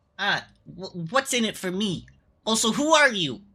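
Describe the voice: A female-sounding, squeaky put-on character voice talks at a fairly high pitch and a moderate pace.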